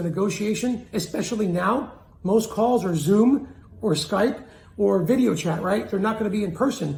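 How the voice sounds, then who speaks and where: Energetic in tone, a man with a high pitch and ordinary pitch variation speaks amid audible room echo. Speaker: sales and communication coach. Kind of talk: motivational talk to camera.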